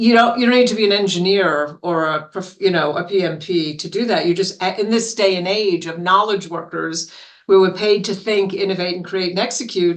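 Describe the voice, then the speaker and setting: Speech runs at a moderate pace with hardly any pauses, in a New York accent. The pitch varies in an ordinary way. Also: woman, medium pitch for a woman. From New York City. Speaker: business consultant and author. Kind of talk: interview.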